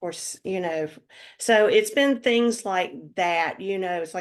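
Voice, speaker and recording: In a North Carolina accent, a woman of medium pitch speaks at a fairly slow pace against a quiet background. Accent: Southern American (North Carolina). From US South, North Carolina (Lexington). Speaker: retired accountant, writer and musician. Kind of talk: interview. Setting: podcast interview. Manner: halting, many fillers.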